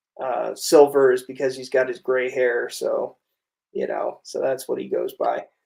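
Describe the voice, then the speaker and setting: A man talking at a fairly slow pace. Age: 30s. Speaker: livestream interview host, former teacher. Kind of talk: casual interview livestream. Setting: livestream. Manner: hesitant, many fillers.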